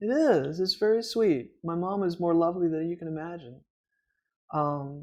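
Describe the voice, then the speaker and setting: A fairly low-pitched woman at a moderate pace with ordinary pitch variation, against a quiet background. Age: 60s. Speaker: podcast co-host. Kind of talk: interview. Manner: animated.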